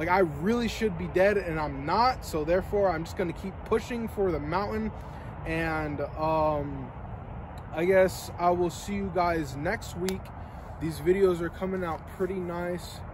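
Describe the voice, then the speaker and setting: A man talks at a fairly slow pace. The sound is dry with no echo, and background noise is noticeable. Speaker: vlogger. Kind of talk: casual vlog chat. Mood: earnest, reflective. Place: street. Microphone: camera far.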